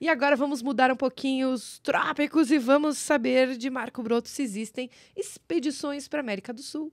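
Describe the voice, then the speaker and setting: A woman speaks with a high pitch. The background is quiet. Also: dry sound with no echo. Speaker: podcast co-host. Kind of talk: casual chat. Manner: animated. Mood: friendly, smiling. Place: studio. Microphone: studio mic.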